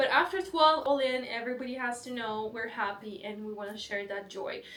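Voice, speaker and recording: A woman speaks with a Belarusian accent in a high-pitched voice. There is audible room echo. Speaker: vlogger. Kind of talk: casual vlog talk.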